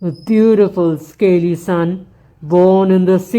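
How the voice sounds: Intonation holds fairly even. The reading voice sounds natural.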